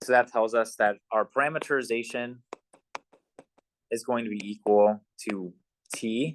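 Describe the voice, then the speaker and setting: The man speaks at a medium pitch. His intonation stays fairly even. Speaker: math instructor. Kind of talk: lecture. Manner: fast.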